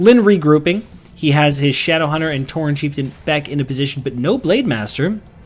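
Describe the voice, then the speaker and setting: In a normal speaking voice, a man talks at a fairly quick pace with fairly high pitch and lively intonation. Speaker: game commentator. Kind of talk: esports play-by-play commentary.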